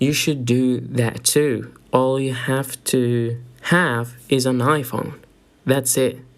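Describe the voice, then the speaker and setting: Speaking at a very slow pace, a man has an American accent and medium pitch. His intonation is monotone and flat. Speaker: podcast host. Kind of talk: casual podcast talk.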